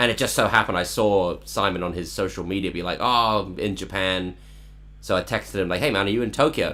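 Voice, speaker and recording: A man's very deep, low voice with vocal fry, a bright, sharp tone, ordinary pitch variation and a very fast pace. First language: Cantonese. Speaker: songwriter live streamer. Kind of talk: casual chat. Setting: online live stream.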